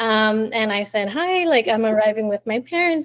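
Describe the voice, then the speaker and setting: A woman with a normal speaking voice talks at a fairly high pitch and a moderate pace. The recording is very clean, with a silent background. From Miami, Florida (born in Colombia). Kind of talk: interview answer.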